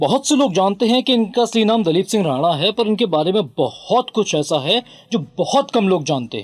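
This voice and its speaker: High pitch from a man, swinging very widely. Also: moderate pace, very clean recording, silent background. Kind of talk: biography narration; documentary narration.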